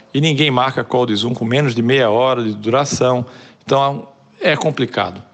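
This man speaks at a medium pitch. His intonation is fairly even. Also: moderate pace. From Brazil, Pernambuco (Olinda). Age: 40s. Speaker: advertising creative director and writer. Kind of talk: casual interview.

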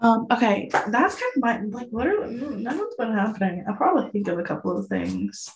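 A quiet woman's voice at a fairly quick pace with hardly any pauses, over noticeable background noise. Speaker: podcast co-host. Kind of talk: casual chat. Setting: bathroom at boyfriend's house. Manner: hushed; halting, many fillers.

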